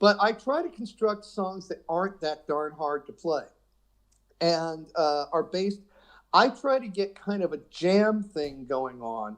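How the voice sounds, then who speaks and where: Speaking very slowly with long, frequent pauses, a man with a high pitch uses lively intonation. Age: 60s. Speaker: guitarist. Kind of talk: casual chat.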